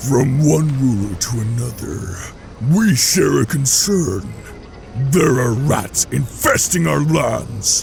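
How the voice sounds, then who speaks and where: Over clear background noise, a man uses a growling, put-on character voice at a medium pitch and a very slow pace. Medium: machinima. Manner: arrogant, menacing.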